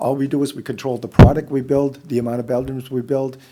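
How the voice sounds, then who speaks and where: Very clean recording with a silent background: a man's dark, mellow tone at a fairly quick pace, in monotone, flat intonation. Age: 60s. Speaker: housing developer. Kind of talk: public meeting presentation. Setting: public meeting room.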